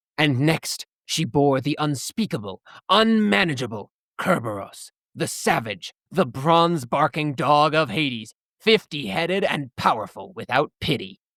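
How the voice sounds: A put-on character voice at a low-to-middle pitch and a moderate pace, in a very clean recording with a silent background.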